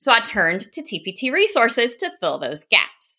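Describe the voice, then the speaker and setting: This woman speaks with a strong Southern US accent in a fairly high pitch, her tone bright and sharp. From US South, South Carolina. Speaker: podcast host, business coach, former teacher. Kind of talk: solo podcast monologue.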